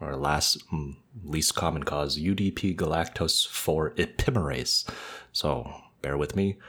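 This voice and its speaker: A man talks at a very slow pace with a very deep, low pitch. His voice has vocal fry and ordinary pitch variation. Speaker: ophthalmology podcast co-host. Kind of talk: educational podcast discussion.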